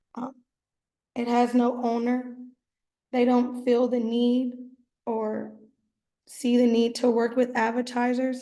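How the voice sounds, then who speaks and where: Very slowly and in a monotone, flat intonation, a woman speaks at a high pitch with a dark, mellow tone. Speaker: student. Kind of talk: class presentation. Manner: hesitant.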